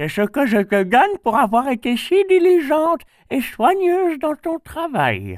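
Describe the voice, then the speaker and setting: A man puts on a character voice at an extremely high pitch. His pace is moderate. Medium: read story. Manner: kindly, gentle.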